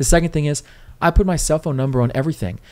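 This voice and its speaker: A man with an American accent. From Riverside, California; California. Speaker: city council candidate; council candidate. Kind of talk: casual interview. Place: studio. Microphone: studio mic.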